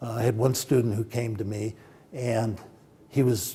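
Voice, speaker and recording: A medium-pitched man's voice, dark and mellow in tone, somewhat breathy, with ordinary pitch variation. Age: 70s. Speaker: film producer and professor. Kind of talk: interview.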